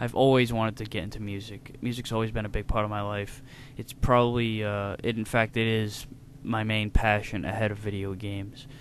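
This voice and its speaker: A man speaks with a northeastern US accent. His pitch is fairly low and his intonation monotone and flat. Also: fairly quick pace. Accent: American northeastern. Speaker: video game reviewer. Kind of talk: casual Q&A talk to camera.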